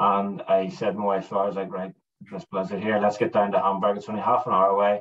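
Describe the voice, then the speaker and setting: Very fast in pace, a man with a fairly low voice talks with ordinary pitch variation. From Northern Ireland, Belfast. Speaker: landscape photographer; guest. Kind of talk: casual interview chat. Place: home room.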